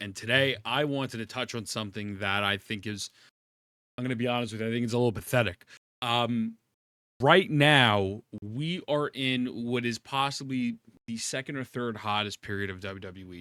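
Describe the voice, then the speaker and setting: Loud and animated, a man speaks in a bright, sharp tone on a very clean recording with a silent background. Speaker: wrestling commentary youtuber. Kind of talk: casual opinion rant to camera. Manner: loud, animated.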